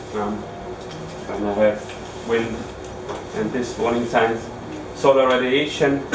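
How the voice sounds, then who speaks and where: Over noticeable background noise and audible room echo, a man with an Austrian accent speaks fairly slowly at a medium pitch in a monotone, flat intonation. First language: German. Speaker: ski instructor trainer. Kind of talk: lecture. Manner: halting.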